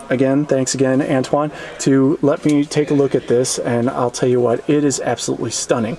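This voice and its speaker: A man speaks quietly at a fairly quick pace and a medium pitch. His loudness stays very even over noticeable background noise. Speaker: car reviewer / vlogger. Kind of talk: casual walkaround car review. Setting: car dealership showroom. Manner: quiet, hushed; enthusiastic.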